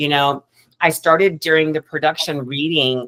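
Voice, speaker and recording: The speaker has a Southern US accent and fairly even intonation. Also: woman. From US South. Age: 50s. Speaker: actress. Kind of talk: panel discussion.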